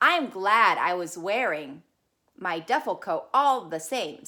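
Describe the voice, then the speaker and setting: A woman in a put-on character voice, medium-pitched and fairly slow, on a very clean recording with a silent background. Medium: read story. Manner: polite, earnest.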